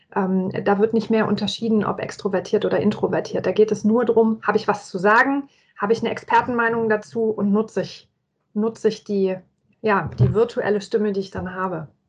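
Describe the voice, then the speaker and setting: In a plain, everyday voice, a woman speaks fairly quickly with fairly high pitch and fairly even intonation. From Franconia, Germany (Nuremberg). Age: 40s. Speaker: corporate employee and agile learning method advocate. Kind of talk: casual interview.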